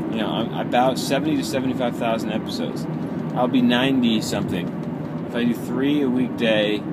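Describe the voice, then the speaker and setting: Loud background noise fills the recording. Over it, a man talks fairly quickly with ordinary pitch variation. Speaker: show host driving. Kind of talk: casual vlog chat. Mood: reflective, musing. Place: car. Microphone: phone near.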